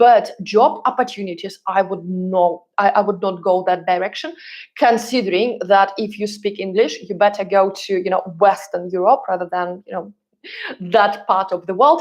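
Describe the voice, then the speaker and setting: This speaker has a Russian accent and talks at a moderate pace. The pitch varies in an ordinary way. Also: woman, medium pitch for a woman. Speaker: relocation consultant and YouTuber. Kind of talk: live stream Q&A. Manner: hesitant, many fillers. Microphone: new microphone.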